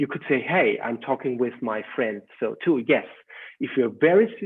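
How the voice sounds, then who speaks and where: Speaking at a moderate pace, a man with a German accent has a fairly high pitch. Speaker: educational trainer. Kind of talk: webinar talk. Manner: halting.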